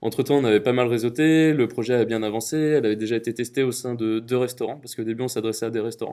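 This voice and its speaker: Racing along at a very fast pace with hardly any pauses, a man talks in a dark, mellow tone with fairly even intonation. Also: medium pitch for a man. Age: 20s. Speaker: startup founder. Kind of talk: interview testimony. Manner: hesitant, many fillers.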